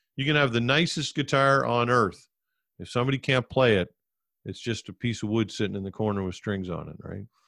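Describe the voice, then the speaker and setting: On a very clean recording with a silent background, a man with a bright, sharp tone and a medium pitch talks at a fairly quick pace, showing ordinary pitch variation and big swings in loudness. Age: 50s. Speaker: former talk radio host. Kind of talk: casual interview.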